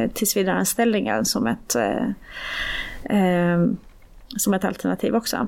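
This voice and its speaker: This is a very clean recording with a silent background. The speech moves very slowly. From born in Iran, raised in Sweden. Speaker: union policy analyst. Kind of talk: casual interview.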